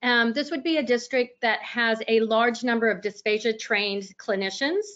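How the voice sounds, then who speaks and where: In a Texas accent, a woman talks at a moderate pace, her fairly high voice showing ordinary pitch variation. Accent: Texas twang. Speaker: speech-language pathologist presenter. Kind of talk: webinar lecture. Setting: online webinar.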